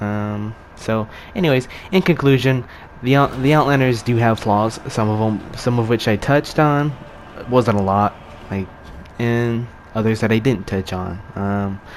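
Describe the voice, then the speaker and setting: Over noticeable background noise, a man talks fairly slowly at medium pitch, with ordinary pitch variation and long, frequent pauses. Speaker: gaming youtuber. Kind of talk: video essay outro, casual talk to viewers. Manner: halting, many fillers and repeats.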